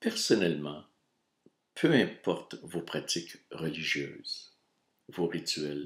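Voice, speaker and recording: A man's very deep, low voice in a Quebec accent, very slow with long, frequent pauses and fairly even intonation. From Quebec (Montreal). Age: 60s. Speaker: video blogger. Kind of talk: reading aloud.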